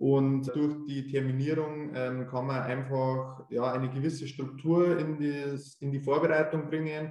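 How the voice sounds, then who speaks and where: A man's monotone, flat delivery at a fairly slow pace with hardly any pauses. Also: fairly high pitch for a man. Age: 20s. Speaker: tax assistant preparing for tax adviser exam. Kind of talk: interview. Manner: hesitant with frequent fillers.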